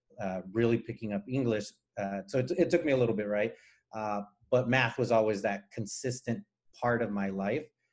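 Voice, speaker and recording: Speaking fairly quickly at medium pitch, a man talks with a Spanish accent. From Nicaragua. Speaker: aerospace engineer. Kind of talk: interview. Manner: hesitant, many fillers.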